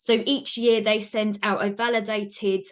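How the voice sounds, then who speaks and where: A woman speaks with a British accent at a medium pitch. Her intonation is fairly even against a quiet background. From UK. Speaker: university researcher. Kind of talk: webinar presentation.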